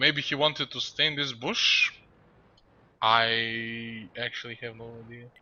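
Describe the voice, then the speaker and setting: A man with a non-native accent, medium pitch and fairly even intonation, at a fairly slow pace and with big swings in loudness. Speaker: esports commentator. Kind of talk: casual chat; live commentary. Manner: hesitant, many fillers.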